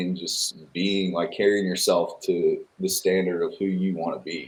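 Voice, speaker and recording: A man with a Virginia accent talks at a very slow pace. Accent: southern US (Virginia). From Chatham, Virginia (southern Virginia). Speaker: country singer and navy veteran. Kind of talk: interview. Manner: halting.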